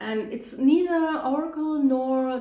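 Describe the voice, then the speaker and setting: In a German accent, a woman speaks at a very slow pace with a high pitch and a dark, mellow tone. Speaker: tarot reader. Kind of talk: tarot reading to camera. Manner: hesitant, many fillers.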